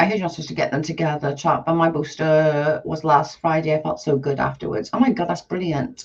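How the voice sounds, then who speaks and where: Over noticeable background noise, a woman with a very deep, low pitch speaks at a very fast pace with hardly any pauses. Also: ordinary pitch variation. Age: 40s. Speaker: live streamer. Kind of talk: casual chat. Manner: animated.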